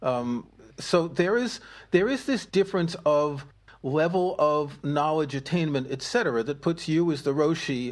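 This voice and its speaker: In a quiet background, a man with a normal speaking voice talks at a fairly high pitch with ordinary pitch variation. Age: 60s. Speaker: podcast co-host and musician. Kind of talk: casual discussion.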